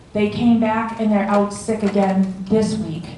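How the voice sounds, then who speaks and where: Light noise in the background and audible echo from the room surround the woman as she speaks. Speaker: board officer giving report. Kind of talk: meeting report to residents. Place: hall.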